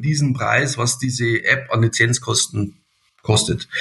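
At a fairly slow pace, a man with an unremarkable speaking voice talks at a medium pitch with fairly even intonation. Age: 60s. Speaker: company director. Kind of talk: podcast interview.

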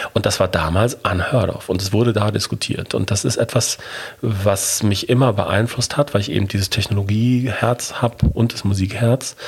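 The speaker keeps a moderate pace with fairly even intonation. There is noticeable background noise. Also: man, fairly low pitch for a man. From Germany, Ruhr area (Bochum). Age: 40s. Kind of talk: interview.

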